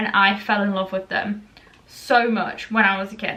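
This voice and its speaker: Against noticeable background noise, a woman speaks at a fairly high pitch in a monotone, flat intonation. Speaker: vlogger. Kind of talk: casual vlog talk to camera.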